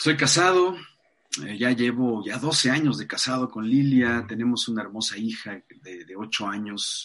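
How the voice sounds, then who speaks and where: Against a quiet background, a man uses a normal speaking voice at a medium pitch with lively intonation. He speaks at a fairly slow pace, and his loudness swings widely. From Mexico City. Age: 40s. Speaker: life coach. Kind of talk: interview conversation.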